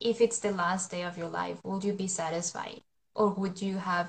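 A woman with a Spanish accent speaks at a medium pitch in a somewhat breathy voice with monotone, flat intonation. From Colombia. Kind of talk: interview. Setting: live stream.

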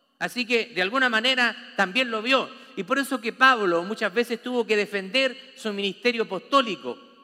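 This man's voice is raised and projected, with a bright, sharp tone and extremely high pitch. He keeps a moderate pace and ordinary pitch variation. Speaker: pastor. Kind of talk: sermon. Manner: animated.

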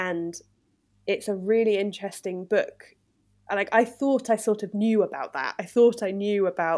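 An ordinary speaking voice at a moderate pace, very clean recording with a silent background. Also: woman. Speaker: English teacher and podcast host. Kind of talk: interview-style conversation for English learners.

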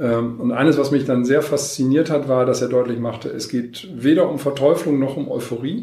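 Over noticeable background noise, the speaker keeps a moderate pace with hardly any pauses and ordinary pitch variation. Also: man, fairly high pitch for a man. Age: 50s. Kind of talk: interview. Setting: in person at guest's location, not studio.

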